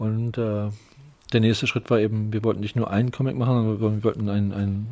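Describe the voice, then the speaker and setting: The man rattles along at a very fast pace with a fairly low voice. Everything he says comes out flat and monotone. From northern Germany, Lübeck. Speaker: comic publisher and letterer. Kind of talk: interview. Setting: publisher's office. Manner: halting, many fillers.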